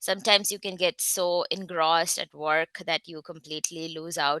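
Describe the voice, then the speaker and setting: With an Indian accent, a woman speaks at a fairly low pitch and a moderate pace, with ordinary pitch variation and a bright, sharp tone. The sound is dry and close with no echo, over a quiet background. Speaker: research scientist. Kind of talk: online talk.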